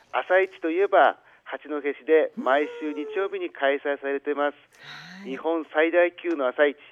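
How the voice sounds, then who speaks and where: Speaking in a plain, everyday voice, a man with a fairly high pitch talks at a fairly slow pace with big swings in loudness. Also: ordinary pitch variation. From Hachinohe, Aomori, northern Japan. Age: 60s. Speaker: city mayor. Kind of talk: formal radio interview answers, partly read. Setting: phone call. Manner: formal.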